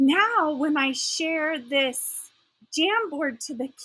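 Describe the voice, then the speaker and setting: A woman speaks in a raised, projected voice with a bright, sharp tone and lively intonation. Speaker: teacher trainer. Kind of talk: tutorial. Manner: halting. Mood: enthusiastic. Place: home room.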